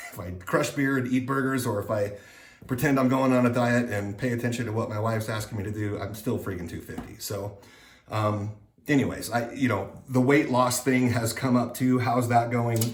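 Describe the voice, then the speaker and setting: Amid noticeable background noise and audible room echo, a man speaks at a medium pitch and moderate pace with fairly even intonation. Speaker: vlogger sharing surgery recovery update. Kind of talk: casual vlog update. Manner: hesitant with many fillers.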